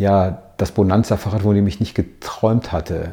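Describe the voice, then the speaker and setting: A man talks at a moderate pace in a fairly low pitch, somewhat breathy. His tone is dark and mellow. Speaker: coach. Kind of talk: motivational video monologue.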